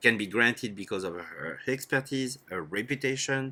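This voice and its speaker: A man with a French accent, medium pitch and a bright, sharp tone, lively intonation at a moderate pace, on a very clean recording with a silent background. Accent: French accent, still noticeable. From France. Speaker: startup educator. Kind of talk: lecture. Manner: formal.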